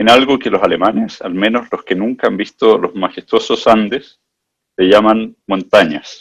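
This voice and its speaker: A man talks with a Chilean accent. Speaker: management consultant. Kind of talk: presentation.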